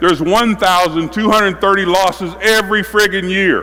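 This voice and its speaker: Raised and projected, the animated voice moves at a moderate pace with ordinary pitch variation, heard through audible room echo and noticeable background noise. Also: man. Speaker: basketball coach. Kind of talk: coaching clinic with players on court.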